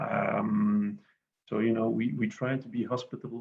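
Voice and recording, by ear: A fairly slow voice with a slightly husky edge, vocal fry and little pitch movement. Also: man, fairly low pitch for a man.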